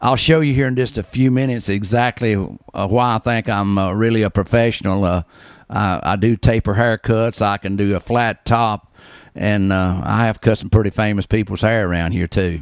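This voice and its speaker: In a North Carolina accent, a man speaks at a fairly low pitch and moderate pace with ordinary pitch variation, recorded very cleanly against a silent background with a dry, close sound and no echo. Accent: Southern US (North Carolina). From US South, western North Carolina. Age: 60s. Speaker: barber, shop owner. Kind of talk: interview. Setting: barber shop. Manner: halting, many fillers.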